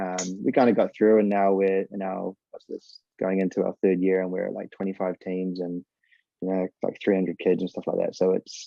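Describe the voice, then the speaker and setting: A man's very deep, low voice in a New Zealand accent, monotone and flat, at a moderate pace. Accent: New Zealand accent, noticed by Americans. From New Zealand, Northland (Whangarei). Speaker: former professional footballer and youth soccer coach. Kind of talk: casual interview chat. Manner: casual, filler-heavy.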